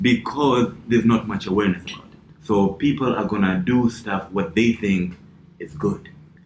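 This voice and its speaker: At a moderate pace, a man speaks with a fairly low pitch and ordinary pitch variation over noticeable background noise. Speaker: comedian. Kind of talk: casual chat. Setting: studio. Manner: halting.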